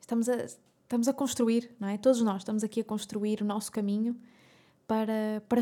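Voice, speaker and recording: Talking at a fairly quick pace, a woman has a fairly high pitch and a dark, mellow tone. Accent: European Portuguese. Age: 20s. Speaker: podcast host. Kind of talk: solo monologue. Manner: animated.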